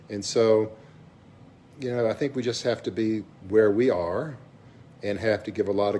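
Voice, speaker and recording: Speaking at a moderate pace, a man has a fairly low pitch and ordinary pitch variation. He talks with a Southern US accent. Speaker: vlogger, businessperson. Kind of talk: casual vlog monologue. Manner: halting, many fillers.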